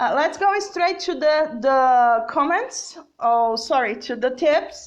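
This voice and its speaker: Speaking in a Portuguese accent, a woman with a high pitch talks at a very slow pace. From Brazil. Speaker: English teacher. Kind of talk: live-streamed lesson reading viewer comments. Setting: Facebook live video. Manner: hesitant, many fillers and repetitions.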